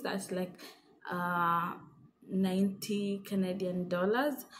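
A somewhat breathy woman's voice over light background noise. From Kenya. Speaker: vlogger. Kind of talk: casual tutorial vlog. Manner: hesitant, many fillers. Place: home room. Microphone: phone near.

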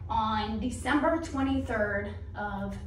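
A woman's voice comes with audible room echo. Light background noise sits behind her. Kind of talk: personal testimony. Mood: earnest storytelling. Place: church.

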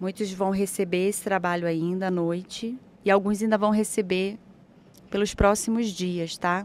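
Delivered in a monotone, flat intonation, the voice has a dry sound with no echo. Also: woman, medium pitch for a woman. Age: 40s. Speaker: spiritual therapist; guest. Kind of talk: guided meditation; guided ritual talk on a live show. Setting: live stream studio. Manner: slow. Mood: calm, soothing guidance.

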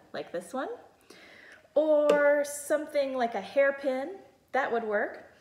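A woman speaks at a high pitch. Room echo is audible. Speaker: music teacher. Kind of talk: tutorial. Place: kitchen. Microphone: phone near.

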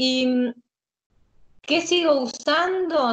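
A woman with a Rioplatense accent speaks with ordinary pitch variation against a quiet background. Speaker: interviewee living abroad. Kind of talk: interview answers. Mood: cheerful, relaxed. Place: home room. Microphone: video call.

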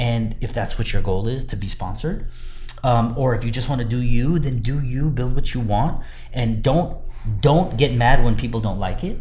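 This man talks at a moderate pace with a medium pitch and an American accent. His pitch varies in an ordinary way, and there is noticeable background noise. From Southern California. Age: 30s. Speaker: car builder and show judge. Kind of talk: casual interview. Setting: in person, seated.

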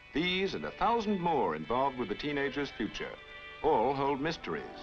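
Speech at a moderate pace over clear background music. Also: man. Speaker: documentary narrator. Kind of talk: narration.

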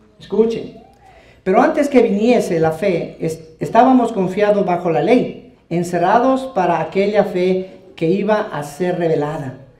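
Over audible room echo, a high-pitched man talks with lively intonation at a fairly slow pace. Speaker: evangelical preacher. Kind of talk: heated debate. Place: hall. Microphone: handheld.

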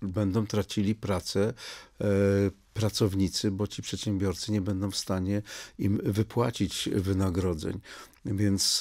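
A man speaks very slowly in a flat monotone against a quiet background. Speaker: politician guest. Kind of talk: interview answer. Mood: critical, earnest argument. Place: studio. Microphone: studio mic.

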